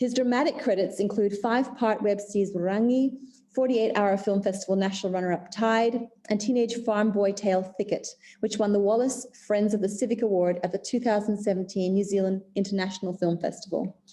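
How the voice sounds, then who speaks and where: A woman talks at a fairly quick pace in a dark, mellow tone. Her pitch is medium and her loudness very even. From Indonesia. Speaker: filmmaker. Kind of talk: reading aloud; panel discussion.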